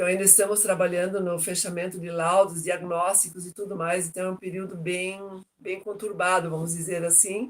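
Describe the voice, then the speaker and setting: The voice moves at a moderate pace. Its intonation is flat and monotone. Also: woman, medium pitch for a woman. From southern Brazil, Joinville, Santa Catarina. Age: 60s. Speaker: retired logistics professional, interviewee. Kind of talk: interview testimony.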